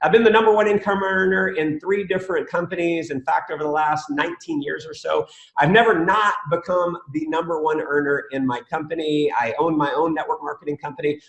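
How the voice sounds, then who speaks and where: Over noticeable background noise, a man speaks at a high pitch with ordinary pitch variation and hardly any pauses. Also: fairly quick pace. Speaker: network marketing trainer. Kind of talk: webinar training. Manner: fast; animated.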